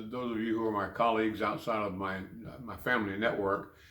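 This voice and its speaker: Against audible room echo, a man with an American accent talks at a moderate pace in a medium pitch with fairly even intonation. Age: 70s. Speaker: cancer patient and Vietnam veteran. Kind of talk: personal video diary. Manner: halting, many fillers and repetitions.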